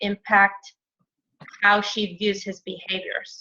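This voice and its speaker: A woman speaks with a bright, sharp tone. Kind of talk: mentoring feedback call; role-play consultation. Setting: call. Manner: loud.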